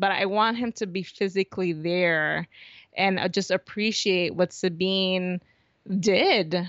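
A fairly slow pace in an unremarkable speaking voice, with fairly even intonation. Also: woman. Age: 30s. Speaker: podcast host and fan blogger. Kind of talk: casual interview chat.

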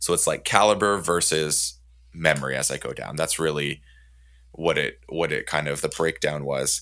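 Over a very clean recording with a silent background, a man speaks at a moderate pace with a very deep, low pitch. His tone is bright and sharp, with vocal fry and fairly even intonation. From Canada. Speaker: podcast host. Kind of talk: casual chat.

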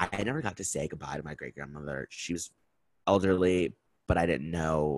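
Dry and close with no echo, a man's very deep, low voice has an animated tone, ordinary pitch variation, and a fairly quick pace. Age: 20s. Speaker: podcast host. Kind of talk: casual solo monologue.

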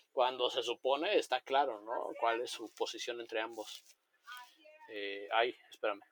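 A man talks at a fairly slow pace with ordinary pitch variation. It is an unremarkable speaking voice, in a dry, close sound with no echo. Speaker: podcast guest. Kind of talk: casual chat.

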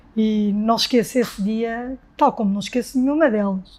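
Fairly high pitch from a woman, with ordinary variation. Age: 40s. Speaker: marathon runner and flight attendant. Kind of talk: casual interview conversation.

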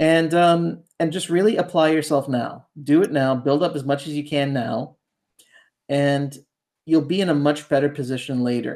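This man has a plain, everyday voice with a Canadian accent. His intonation is fairly even and his pace moderate. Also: fairly high pitch for a man. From Ontario, Canada (outside Toronto). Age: 40s. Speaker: ghostwriter and fiction author. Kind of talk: casual interview.

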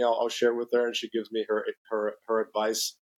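This man, with a slight Brazilian accent, talks at a fairly quick pace and a medium pitch in a dry, close sound with no echo. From Brazil (São Paulo), raised in Mexico City. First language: Portuguese. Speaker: company president. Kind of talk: interview. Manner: halting with many fillers and repetitions.

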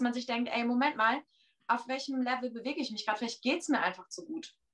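A woman talks at a fairly quick pace in a high voice with ordinary pitch variation. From Oldenburg, northern Germany. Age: 30s. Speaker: church member guest. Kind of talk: casual discussion. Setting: video chat.

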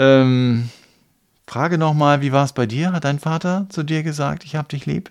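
Speaking at a moderate pace, a man uses a plain, everyday voice, fairly high in pitch with ordinary variation. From eastern Germany. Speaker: podcast co-host, church member. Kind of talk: casual discussion.

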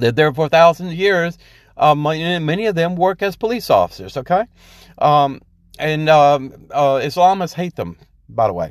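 A man with a fairly high pitch speaks at a moderate pace, his intonation lively. The recording is very clean, with a silent background. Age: 50s. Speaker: podcaster and military veteran. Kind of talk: solo podcast commentary. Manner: halting, many fillers.

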